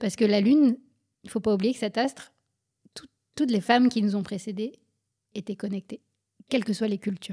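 A woman with a fairly high pitch and a dark, mellow, somewhat breathy tone speaks at a fairly quick pace, with long, frequent pauses. Her intonation is fairly even, and the sound is dry and close with no echo. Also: very clean recording, silent background. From France, Paris suburbs. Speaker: physician and author. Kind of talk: interview.

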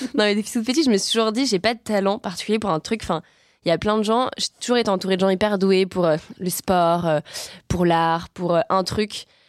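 In a normal speaking voice, the speech runs at a fairly quick pace with ordinary pitch variation and very even loudness, in a dry, close sound with no echo and a very clean recording with a silent background. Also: woman, medium pitch for a woman. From France, Savoie. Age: 20s. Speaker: climate activist. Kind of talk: casual chat.

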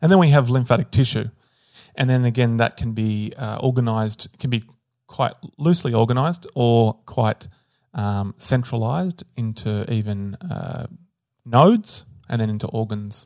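A man with a plain, everyday voice at medium pitch and a moderate pace, with ordinary pitch variation, sounding dry and close with no echo on a very clean recording with a silent background. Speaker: medical professor and co-host. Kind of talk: casual chat.

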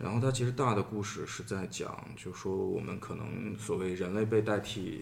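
At a moderate pace, a man speaks. Audible room echo can be heard. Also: fairly low pitch for a man, ordinary pitch variation. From Shaanxi, Xi'an. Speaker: artist. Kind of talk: podcast conversation.

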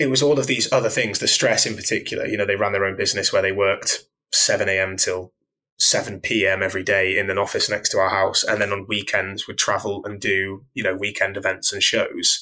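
A man with a British accent talks at a fairly quick pace. The recording is very clean, with a silent background. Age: 30s. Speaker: fitness coach. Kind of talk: casual chat.

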